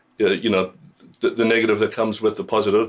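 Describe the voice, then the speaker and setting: In a very clean recording with a silent background, a man speaks with a slight South African accent. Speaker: singer-songwriter. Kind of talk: radio interview. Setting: radio studio. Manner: halting, many fillers.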